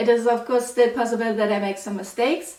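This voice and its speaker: Against noticeable background noise and audible room echo, a woman with a German accent speaks in a fairly high pitch with fairly even intonation. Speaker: mathematics PhD student, educational youtuber. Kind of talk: lecture.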